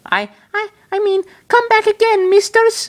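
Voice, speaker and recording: This put-on character voice is squeaky and extremely high-pitched, moving along at a moderate pace. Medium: read story.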